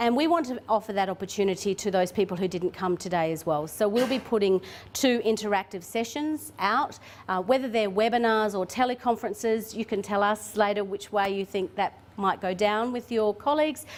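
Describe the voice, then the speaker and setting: A woman's medium-pitched voice in an Australian accent, at a fairly quick pace with ordinary pitch variation. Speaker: government tourism official presenting. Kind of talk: conference presentation. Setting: conference room with audience. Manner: fast.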